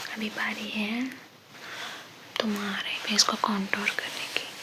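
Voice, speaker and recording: Against noticeable background noise, a woman whispers in a soothing tone. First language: Hindi. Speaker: ASMR creator. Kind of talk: ASMR roleplay, friendly talk to the listener. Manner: soft-spoken, soothing.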